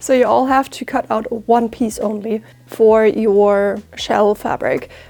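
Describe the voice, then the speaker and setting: Very slowly, a woman with a German accent talks in a fairly high pitch and a monotone, flat intonation. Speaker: sewing content creator and author. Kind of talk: self-promotion; sewing tutorial.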